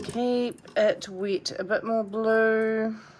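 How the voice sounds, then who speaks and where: A woman speaking at a very slow pace over noticeable background noise. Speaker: watercolour artist teaching painting. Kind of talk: painting tutorial. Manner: casual, chatty with fillers; soft-spoken, quiet while concentrating.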